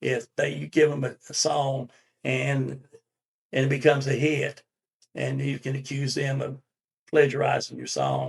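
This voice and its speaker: Big swings in loudness and long, frequent pauses mark this man's speech in a North Carolina accent. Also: fairly slow pace. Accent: Southern US (North Carolina). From US South, Winston-Salem, North Carolina. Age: 70s. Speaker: songwriter. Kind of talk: interview. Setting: studio.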